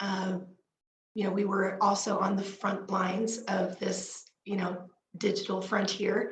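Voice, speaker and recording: A woman speaks very slowly at a medium pitch, with audible room echo. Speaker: parenting speaker. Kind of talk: panel talk. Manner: halting, many fillers.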